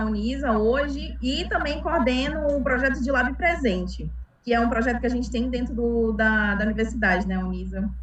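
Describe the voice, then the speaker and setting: A woman talks at a fairly quick pace in a northern Brazilian accent. Noticeable background noise and audible room echo surround her. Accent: northern Brazilian (Amazonas). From Brazil, Amazonas (Manaus). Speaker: civil engineer, lab supervisor. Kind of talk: casual live chat. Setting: live stream.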